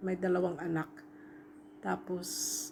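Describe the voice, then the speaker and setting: Noticeable background noise accompanies a woman speaking fairly slowly. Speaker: overseas domestic worker and vlogger. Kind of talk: travel vlog voice-over. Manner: casual, halting.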